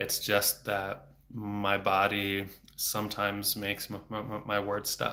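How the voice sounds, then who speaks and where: A man with a fairly low-pitched voice and a bright, sharp tone. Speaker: speech-language pathologist. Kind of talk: explanatory answer to a viewer question. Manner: stuttering, with repetitions and blocks.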